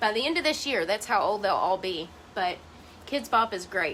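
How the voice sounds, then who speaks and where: A woman speaks loudly at a moderate pace, her pitch in the middle range. Her tone is bright, sharp and animated, with lively intonation. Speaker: crafter vlogger. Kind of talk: casual tutorial chat. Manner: chatty, animated.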